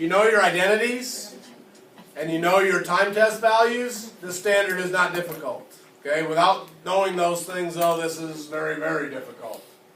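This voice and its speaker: Through audible room echo and noticeable background noise, a man speaks at a moderate pace in a high pitch, with ordinary pitch variation and big swings in loudness. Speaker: math teacher. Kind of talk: classroom lecture.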